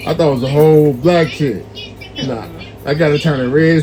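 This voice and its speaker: A man with fairly high pitch at a fairly quick pace, set against noticeable background noise. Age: 40s. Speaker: street interviewer. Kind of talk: street interview. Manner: animated.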